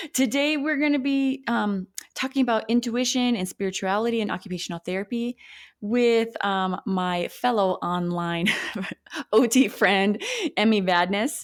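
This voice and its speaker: At a moderate pace, a woman with an Upper Midwest accent speaks in a fairly high pitch with ordinary pitch variation. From North Dakota. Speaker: occupational therapist, podcast host. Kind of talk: casual interview chat. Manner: animated.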